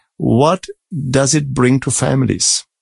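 Somewhat breathy, a man talks with a German accent. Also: dry, close sound with no echo. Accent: German-flavored English. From Germany, born in Czech Republic. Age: 50s. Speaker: Bible study moderator. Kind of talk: Bible study discussion.

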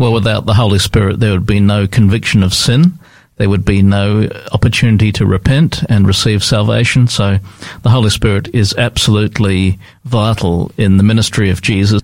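Using an ordinary speaking voice, a man talks at a fairly quick pace with a fairly low pitch, fairly even intonation and very even loudness. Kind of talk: radio interview, religious talk.

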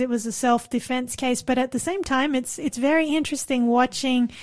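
A woman with an Australian accent speaks at a high pitch and a moderate pace, with ordinary pitch variation. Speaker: radio host. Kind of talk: religious radio talk show. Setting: studio.

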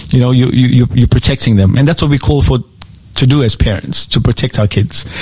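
Noticeable background noise sits under the recording. A man talks at a medium pitch. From South Africa. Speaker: school principal. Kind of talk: casual interview chat.

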